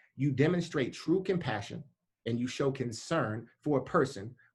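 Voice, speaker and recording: The voice sounds animated and somewhat breathy, with ordinary pitch variation. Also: man. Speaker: leadership program leader, speaker. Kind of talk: motivational talk. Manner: fast.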